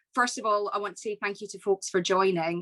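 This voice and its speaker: A woman's medium-pitched voice with a west of Scotland accent, dry and close with no echo. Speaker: business executive. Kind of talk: keynote speech.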